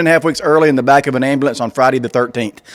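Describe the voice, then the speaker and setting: Ordinary pitch variation from a man with a Southern US accent. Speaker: comedian. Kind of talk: stand-up.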